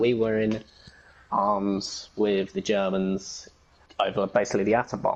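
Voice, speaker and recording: With an English accent, a man speaks at a fairly low pitch. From England, Essex. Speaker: gamer and fan-fiction writer. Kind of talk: casual interview chat.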